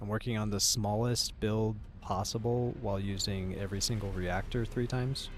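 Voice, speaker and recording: A man speaks at a moderate pace with a fairly low pitch and fairly even intonation. His loudness stays very even, and room echo is audible. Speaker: game streamer. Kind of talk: live gaming stream chat. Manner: relaxed, laid-back.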